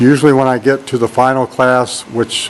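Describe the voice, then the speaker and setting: A man's words come at a moderate pace while noticeable background noise carries on behind him. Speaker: college instructor. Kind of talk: classroom tour walkthrough. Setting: empty classroom. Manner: monotone; halting, many fillers.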